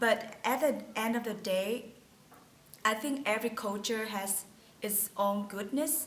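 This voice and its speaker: A woman's fairly high voice in a strong Vietnamese accent, fairly slow and fairly even in intonation, with audible room echo and noticeable background noise. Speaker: international student graduate. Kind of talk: personal testimony to camera.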